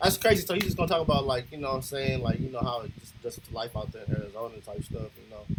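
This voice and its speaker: With an American accent and a medium pitch, a man talks at a very fast pace with lively intonation and hardly any pauses over noticeable background noise. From Los Angeles, California. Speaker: reaction video creator. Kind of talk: reaction commentary. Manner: animated.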